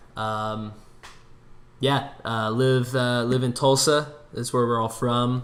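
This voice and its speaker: A very slow man with an American accent, medium pitch, flat monotone intonation, and long, frequent pauses. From US Midwest, Minneapolis. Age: 20s. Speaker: podcast co-host. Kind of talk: casual chat.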